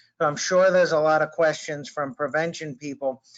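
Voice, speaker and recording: A man's fairly high pitch with fairly even intonation and an East Coast US accent. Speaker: prevention specialist. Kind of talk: webinar presentation.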